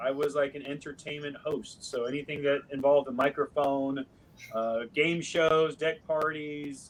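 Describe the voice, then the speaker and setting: With a West Coast US accent, a man talks at a moderate pace in a fairly high pitch. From US Pacific Northwest, Seattle. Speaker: actor. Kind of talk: podcast interview.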